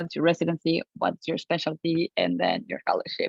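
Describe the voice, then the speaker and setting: Here a woman talks with a Colombian accent. Her pace is moderate. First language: Spanish. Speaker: physician-scientist. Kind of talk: panel discussion.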